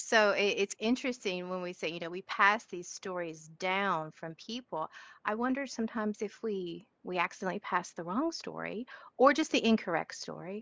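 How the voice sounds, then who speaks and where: A woman with a strong Southern accent talks at a moderate pace and medium pitch, with lively intonation and big swings in loudness, in a dry sound with no echo. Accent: strong Southern twang. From Georgia (US South). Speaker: session participant, educator. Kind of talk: casual discussion contribution. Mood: reflective, thoughtful. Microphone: video call.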